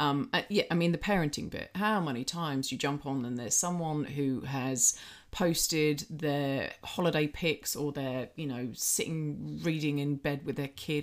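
In a very clean recording with a silent background, a woman speaks with a very deep, low pitch and ordinary pitch variation. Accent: English. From Britain. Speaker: personal trainer and podcast co-host. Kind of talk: casual chat.

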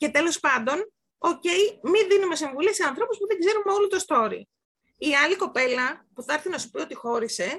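At a moderate pace, a woman speaks in an extremely high pitch with very wide pitch swings. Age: 40s. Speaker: podcast guest. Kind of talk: casual chat. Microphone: may not have very good sound.

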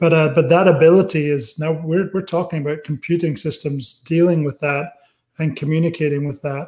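Talking at a fairly quick pace, a man keeps his fairly high voice in a fairly even intonation. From Scotland (Aberdeen). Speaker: technology executive. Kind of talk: interview.

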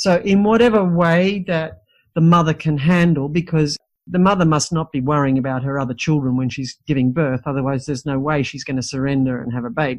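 With an Australian accent, a woman speaks at a fairly quick pace in a very deep, low pitch with lively intonation. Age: 60s. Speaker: midwife and teacher. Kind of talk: interview.

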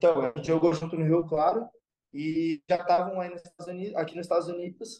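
Loudness swings widely as a man races along at a very fast pace, his high-pitched voice dark and mellow in tone. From São Paulo, east zone. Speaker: student athlete. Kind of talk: casual chat. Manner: animated.

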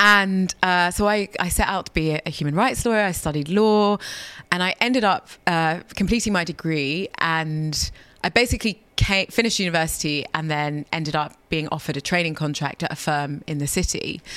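A woman with a London accent speaks at a moderate pace, her pitch fairly low with ordinary variation. The recording is very clean, with a silent background. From London, of Ghanaian parents. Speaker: former wealth lawyer turned campaigner. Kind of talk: interview. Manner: halting, repeats words.

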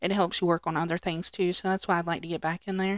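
On a very clean recording with a silent background, a woman's fairly low-pitched voice carries a bright, sharp tone and fairly even intonation, the sound dry and close with no echo. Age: 30s. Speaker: podcast co-host. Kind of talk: casual chat. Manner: laughs often.

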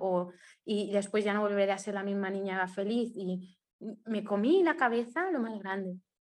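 At a moderate pace, a woman uses a normal speaking voice with a medium pitch and fairly even intonation over a quiet background. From Mallorca, Spain. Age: 20s. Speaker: blogger and adoptee. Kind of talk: testimony.

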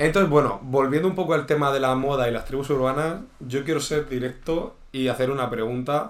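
A man's fairly quick, medium-pitched delivery in a normal speaking voice. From Murcia, Spain. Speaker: podcast co-host. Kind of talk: casual chat. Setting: indoors.

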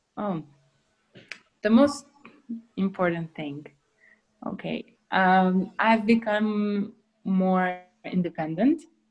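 Somewhat breathy, a woman speaks at a very slow pace with long, frequent pauses and big swings in loudness. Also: medium pitch for a woman, ordinary pitch variation. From Kosovo. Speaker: exchange student. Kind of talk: interview.

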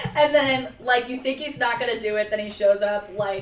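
With an American accent, the speaker talks at a moderate pace with lively intonation over noticeable background noise. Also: woman. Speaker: podcaster guest. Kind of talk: casual podcast chat.

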